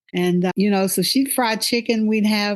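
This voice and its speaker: A woman speaks in a Texas accent with ordinary pitch variation. The background is quiet. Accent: US Southern (Texas). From northeast Texas. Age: 70s. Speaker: podcast host. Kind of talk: casual conversation with daughter.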